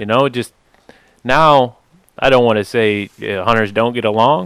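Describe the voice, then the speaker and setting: A normal speaking voice, moderately paced, its pitch rising and falling in an ordinary way. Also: man. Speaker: podcast host. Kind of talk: casual interview.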